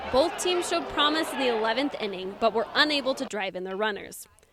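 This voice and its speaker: A woman talks at a very fast pace and a high pitch, with very wide pitch swings. Noticeable background noise sits behind her. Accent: American. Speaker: college sports reporter and anchor. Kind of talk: live studio analysis answering anchor questions. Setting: studio and broadcast.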